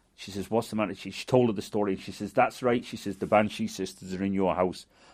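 A man speaks in a fairly low voice. His intonation is flat and monotone. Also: quiet background. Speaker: storyteller. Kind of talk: folk tale storytelling.

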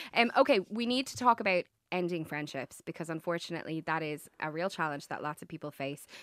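With an Irish accent, a woman speaks very fast at a fairly low pitch with lively intonation and big swings in loudness, in a very clean, dry, close recording with a silent background and no echo. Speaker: radio host. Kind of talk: radio interview. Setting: radio studio.

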